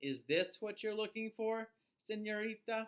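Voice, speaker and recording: A man puts on a character voice pitched high. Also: moderate pace. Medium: read story.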